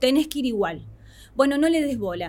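A woman talks at a moderate pace in an Argentine accent, her intonation lively. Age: 20s. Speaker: psychologist. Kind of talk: radio interview.

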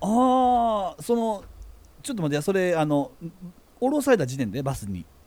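Speaking at a moderate pace with a Kansai accent, a man uses a high pitch and very wide pitch swings, broken by long, frequent pauses. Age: middle-aged. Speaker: podcast co-host, creator. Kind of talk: casual chat.

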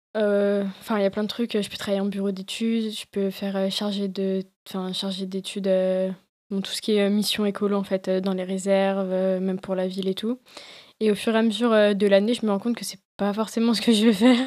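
A woman with medium pitch speaks at a moderate pace in a monotone, flat intonation. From France, Lyon. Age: 20s. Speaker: environmental field worker and photographer. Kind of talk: casual chat.

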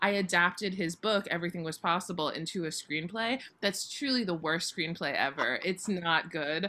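Delivered at a moderate pace, a woman's fairly low voice carries an American accent, showing ordinary pitch variation in an unremarkable speaking voice. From US South, Florida (Boca Raton). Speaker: theater producer and historian. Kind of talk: interview.

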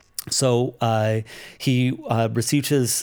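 A man speaks with a Canadian accent in an ordinary speaking voice. His pitch is medium and his intonation fairly even. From Canada, Toronto area. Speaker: migrant worker ministry leader. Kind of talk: casual interview.

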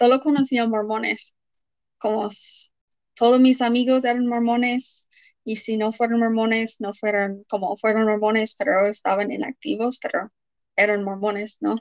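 A woman with an English accent speaks at a fairly slow pace and a fairly high pitch, her intonation fairly even and the sound dry and close with no echo. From Utah, US. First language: English (speaking Spanish). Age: 20s. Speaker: former church member. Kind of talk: interview.

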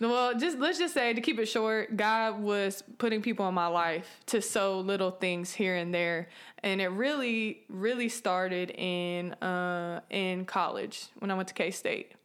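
With an American accent and an ordinary speaking voice, a woman talks at a fairly slow pace with hardly any pauses, medium pitch and ordinary pitch variation. Her loudness stays very even on a very clean recording with a silent background. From US West Coast, San Francisco Bay Area. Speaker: church member and college student. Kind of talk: testimony.

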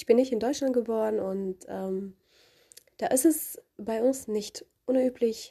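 Very slow in pace, the voice has a dark, mellow tone and lively intonation. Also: woman. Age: 20s. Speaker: law student, podcaster. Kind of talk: solo podcast introduction.

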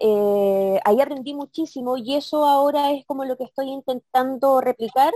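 A woman speaks in a high voice with a dark, mellow tone and ordinary pitch variation. The sound is dry and close, with no echo. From Chile, Santiago (Maipú), then southern Chile from age 15. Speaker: former council candidate, local activist. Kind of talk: interview. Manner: halting, many repetitions and fillers.

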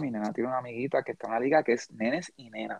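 A man with a Puerto Rican accent, in a dry, close recording with no echo. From Puerto Rico. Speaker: podcast host. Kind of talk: casual chat.

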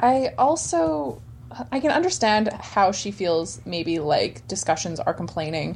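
With vocal fry and very wide pitch swings, a woman speaks at a fairly slow pace and a fairly low pitch. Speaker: sex educator. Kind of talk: casual chat. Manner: playful.

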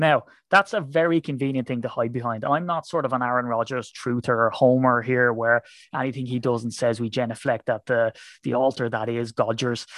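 Moving at a fairly quick pace, a man speaks at medium pitch with fairly even intonation. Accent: Irish. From Ireland. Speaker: football fan podcaster. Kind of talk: casual chat.

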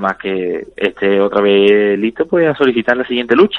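Here a man talks in a normal speaking voice with a medium pitch. The variation in his pitch is ordinary. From Spain. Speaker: professional MMA fighter. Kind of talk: interview.

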